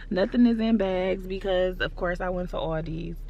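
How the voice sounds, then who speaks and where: A woman at a moderate pace, with noticeable background noise and audible room echo. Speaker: lifestyle vlogger. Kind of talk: vlog casual chat. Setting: outdoors in a snow storm. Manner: animated.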